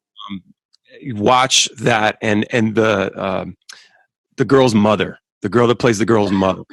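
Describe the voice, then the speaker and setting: At a fairly slow pace with long, frequent pauses, a man with an American accent speaks in a fairly low pitch and fairly even intonation, the sound dry and close with no echo. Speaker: musician. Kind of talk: casual chat. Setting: video call.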